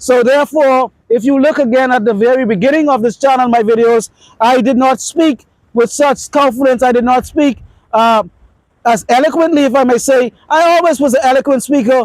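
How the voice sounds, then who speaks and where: A man's voice at an extremely high pitch, fairly quick in pace, with ordinary pitch variation, very even loudness and a dry, close sound free of echo. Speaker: dating and astrology video creator. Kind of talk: unscripted monologue to camera. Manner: fast; confident, few pauses.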